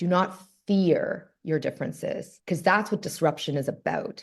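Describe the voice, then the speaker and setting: With a Canadian accent, a woman speaks in a fairly low voice with ordinary pitch variation. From Canada. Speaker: author and diversity consultant. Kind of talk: podcast interview. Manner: fast; animated.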